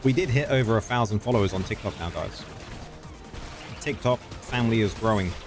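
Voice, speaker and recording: A man with a British accent and medium pitch talks at a fairly quick pace with ordinary pitch variation, taking long, frequent pauses while music plays in the background. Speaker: gaming streamer. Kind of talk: live stream chat and game tutorial. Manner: fast.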